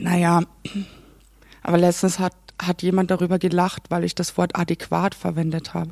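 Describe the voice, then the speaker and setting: With long, frequent pauses, a woman with a fairly low voice talks at a moderate pace in a flat monotone, the sound dry and close with no echo. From Austria, Carinthia (Klagenfurt). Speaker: assistant theatre director. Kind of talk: casual chat. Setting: theatre canteen.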